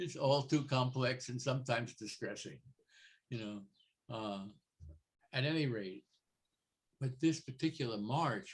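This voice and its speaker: With long, frequent pauses, a fairly slow pace and ordinary pitch variation, this man sounds somewhat breathy. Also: medium pitch for a man. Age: 80s+. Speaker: photographer. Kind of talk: interview. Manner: halting.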